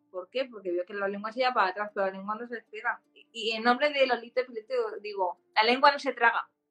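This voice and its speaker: Over background music, a woman with a fairly high pitch speaks at a very fast pace, with big swings in loudness and ordinary pitch variation. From Spain, Barcelona. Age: 30s. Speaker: patient advocate with epilepsy. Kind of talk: interview.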